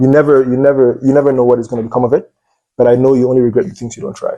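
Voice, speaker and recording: This man talks at a very fast pace with a Cameroonian accent. His medium-pitched voice has a dark, mellow tone and ordinary pitch variation. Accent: Nigerian-sounding Cameroonian English. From Anglophone Cameroon, near Nigeria. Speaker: medical student. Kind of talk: interview.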